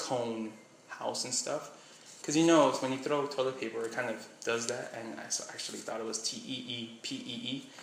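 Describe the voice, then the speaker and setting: Noticeable background noise and an audible room echo surround a man as he talks. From Miami, Florida. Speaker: vlogger. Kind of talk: casual vlog, reading a question list. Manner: casual, rambling.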